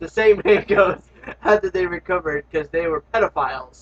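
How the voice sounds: The pitch varies in an ordinary way across this natural reading voice.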